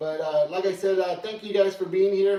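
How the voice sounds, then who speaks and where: A man speaks loudly in a high pitch. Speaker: pool player streamer. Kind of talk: live stream commentary. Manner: hesitant, filler-heavy.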